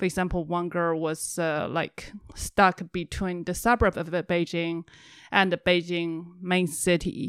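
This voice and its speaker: A woman with a Chinese accent, fairly low-pitched and fairly slow, with monotone, flat intonation, in a dry, close, very clean recording over a silent background. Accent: Mandarin Chinese accent in English. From China. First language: Mandarin Chinese. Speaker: compound resident. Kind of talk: casual chat.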